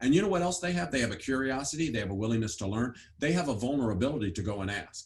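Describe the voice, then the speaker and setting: A man's very fast, somewhat breathy delivery at medium pitch with lively intonation. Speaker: education author and speaker. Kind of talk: interview.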